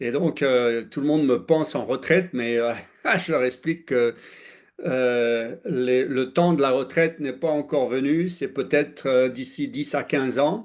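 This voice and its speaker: At a fairly slow pace, a man speaks with fairly high pitch and ordinary pitch variation. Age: 60s. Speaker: former airline pilot, health speaker. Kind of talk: presentation talk. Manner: halting, many fillers.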